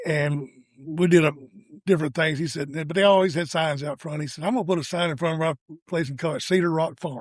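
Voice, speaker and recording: A man with a Tennessee accent talks very fast, his fairly high voice keeping a fairly even intonation. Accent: US Southern (Tennessee). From Tennessee, south of Nashville. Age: 70s. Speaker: real estate agent. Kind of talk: interview.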